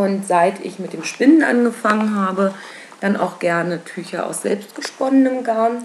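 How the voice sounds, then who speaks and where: Her loudness swings widely while a woman speaks with ordinary pitch variation against noticeable background noise. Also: medium pitch for a woman, fairly slow pace. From Berlin. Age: 20s. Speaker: knitting and spinning podcaster. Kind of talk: casual solo podcast monologue. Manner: many filler sounds (ähm, äh).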